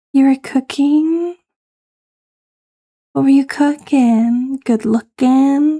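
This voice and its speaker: A woman is whispering at a very slow pace. The sound is dry and close, with no echo. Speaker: VTuber streamer. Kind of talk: casual live-stream chat. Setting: live stream. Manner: soft-spoken.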